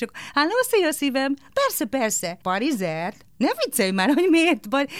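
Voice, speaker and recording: Her pitch swings very widely as this woman speaks at a moderate pace. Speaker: voice actor. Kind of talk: interview. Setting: studio.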